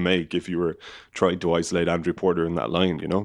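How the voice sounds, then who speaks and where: A man with a very deep, low voice speaks in an Irish accent on a very clean recording with a silent background. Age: 20s. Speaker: rugby podcast host. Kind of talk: casual chat.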